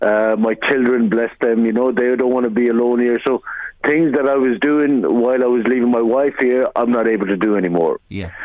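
The speaker has an Irish accent and a fairly quick pace, with ordinary pitch variation and very even loudness. Noticeable background noise runs behind the voice. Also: man, medium pitch for a man. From Ireland. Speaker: small business owner. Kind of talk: radio interview. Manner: halting.

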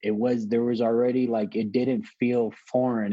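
Man with a Southern California accent, dark and mellow in tone, flat monotone intonation. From Los Angeles, California (Wilmington, San Pedro). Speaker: author and public speaker, former gang member. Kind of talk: interview conversation.

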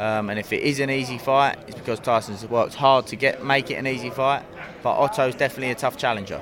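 Noticeable background noise surrounds a man speaking very fast. His pitch is medium and his intonation fairly even. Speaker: boxing trainer. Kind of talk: interview.

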